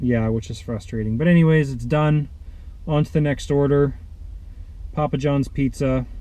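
In a dry sound with no echo, a man talks at a moderate pace with ordinary pitch variation. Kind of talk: casual vlog chat. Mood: mildly annoyed, venting. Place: car. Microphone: phone near.

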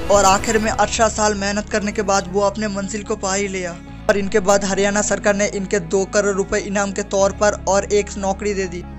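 A man at a high pitch for a man, monotone and flat, at a moderate pace with hardly any pauses, over music in the background. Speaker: motivational video narrator. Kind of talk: motivational story narration.

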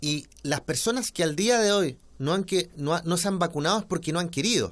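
Here a man speaks at a fairly slow pace and a high pitch. His intonation is lively. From Chile. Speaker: politician; interviewee. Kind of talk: interview. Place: home room. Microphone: studio mic.

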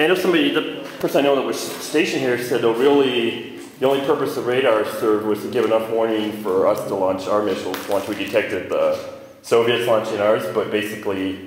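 A man talks at a very fast pace with ordinary pitch variation, and the recording has audible room echo and light background noise. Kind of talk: casual exploring commentary. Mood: curious, excited. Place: tunnel cave. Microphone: phone near.

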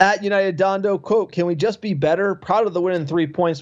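A man with an American accent talks at a fairly quick pace in a plain, everyday voice with ordinary pitch variation. The background is quiet. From US East Coast (New Jersey/New York). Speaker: football podcast host. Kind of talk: casual chat.

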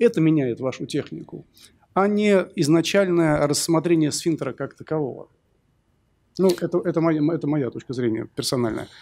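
Dark and mellow in tone, this man's voice is fairly high pitched, with ordinary pitch variation. He talks at a moderate pace, leaving long, frequent pauses. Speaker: surgeon, panel discussant; panel discussant. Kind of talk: panel discussion. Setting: stage with audience. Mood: thoughtful, arguing a personal view. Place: hall. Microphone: podium.

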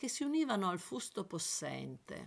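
A woman talks at a fairly slow pace, and the recording is very clean with a silent background. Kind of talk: literary audiobook reading, first-person memoir-like narration. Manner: measured, evocative, lyrical narration.

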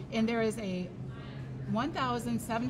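A woman talks at a moderate pace with music playing in the background. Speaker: show host. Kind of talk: casual show chat. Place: shop.

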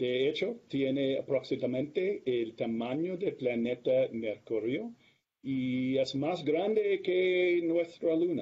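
Speaking very slowly with an English accent, a man holds a fairly high pitch and very even loudness against a quiet background. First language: English (speaking Spanish). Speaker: planetary atmospheric scientist; guest. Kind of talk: lecture. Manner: halting. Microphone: video call.

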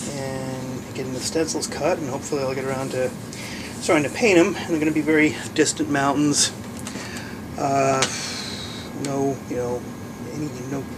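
Noticeable background noise sits under a man talking at a moderate pace with long, frequent pauses. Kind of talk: tutorial. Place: workshop. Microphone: camera far.

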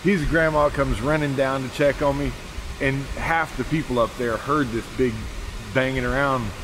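Over noticeable background noise, a man speaks at a moderate pace with fairly even intonation. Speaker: preacher vlogger. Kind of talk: casual vlog chat. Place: forest. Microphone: phone near.

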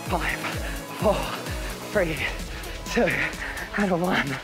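At a very slow pace, the man talks while clear music sounds behind him. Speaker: fitness instructor. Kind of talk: workout class instruction. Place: studio.

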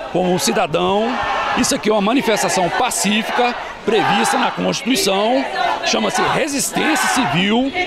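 Over loud background noise, a man speaks with long, frequent pauses in a dry sound with no echo. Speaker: protester. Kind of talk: street protest interview answer. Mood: firm, earnest, political. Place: street. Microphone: handheld.

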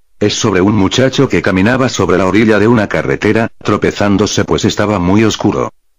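A man with an ordinary speaking voice talks at a fairly quick pace and fairly low pitch, with hardly any pauses, very even loudness, and ordinary pitch variation. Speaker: storyteller. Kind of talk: horror story narration.

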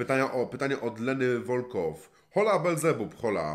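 Against a quiet background, a man's voice shows vocal fry and lively intonation. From Poland, Warmia-Masuria; Poland. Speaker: gaming YouTuber. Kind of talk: Q&A answering viewer questions. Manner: casual, colloquial. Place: home room.

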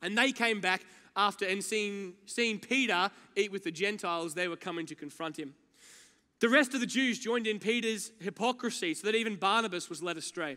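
Raising and projecting his voice, a man speaks at a fairly quick pace with a bright, sharp tone. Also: ordinary pitch variation, quiet background. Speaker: preacher. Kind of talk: sermon. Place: church. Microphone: headset.

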